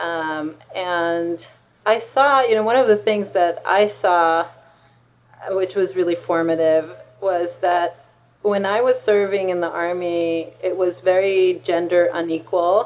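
Very slow speech in an Israeli accent, with ordinary pitch variation. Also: woman. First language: Hebrew. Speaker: law professor and author; law professor. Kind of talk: interview. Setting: university office. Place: office. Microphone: webcam.

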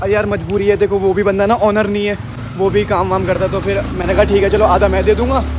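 Noticeable background noise behind a man talking at a moderate pace. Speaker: motorcycle travel vlogger. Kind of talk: casual vlog chat. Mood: frustrated, complaining. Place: street. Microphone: phone near.

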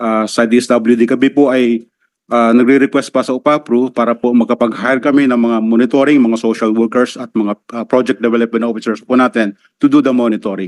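A man talks at a fairly quick pace in a monotone, flat way at a medium pitch, and the sound is dry and close with no echo. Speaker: welfare department undersecretary. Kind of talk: testimony at senate hearing. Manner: formal; halting.

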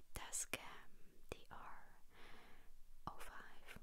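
The voice is a woman's whisper. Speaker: ASMR creator. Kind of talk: whispered casual vlog chat. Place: home room. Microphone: handheld.

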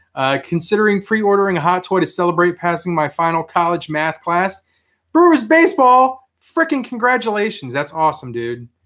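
Speaking with an American accent, a man with a high-pitched voice is heard against a quiet background. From US Mid-Atlantic (DC area, Fairfax County, Virginia); Virginia. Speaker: toy collector youtuber; toy collector livestreamer. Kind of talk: live stream chat with viewers; casual livestream chat. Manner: casual, rambling with fillers. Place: home room. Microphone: webcam.

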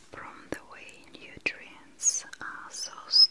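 A woman whispers, her pace very slow. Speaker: ASMR creator playing a spa attendant. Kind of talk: soft roleplay talk and sponsor read.

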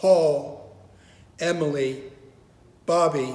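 A man talks at a very slow pace with fairly even intonation. His pitch is fairly high, and his tone is slightly mellow.

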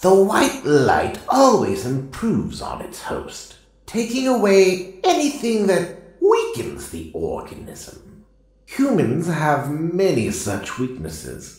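A man does a put-on character voice at a high pitch and a fairly slow pace. There's a slight echo. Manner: stern, lecturing.

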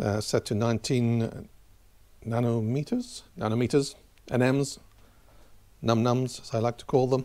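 The tone is dark and mellow. Delivery is fairly slow, with fairly even intonation. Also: man. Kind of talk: tutorial. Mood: relaxed, lightly humorous. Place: garage. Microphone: camera far.

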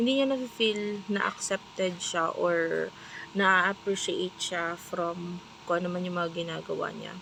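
A soft-spoken woman at medium pitch with fairly even intonation and a fairly slow pace. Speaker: tarot reader. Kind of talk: tarot reading. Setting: restaurant staff room.

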